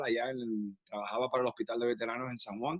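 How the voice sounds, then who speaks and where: A man speaks with a Puerto Rican accent and fairly even intonation. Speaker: actor. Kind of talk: interview conversation. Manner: halting, many fillers and restarts.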